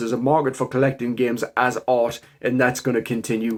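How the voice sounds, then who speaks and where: A medium-pitched man with a strong Geordie accent at a moderate pace. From northern England, Newcastle area. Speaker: game collector YouTuber. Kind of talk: casual collection showcase.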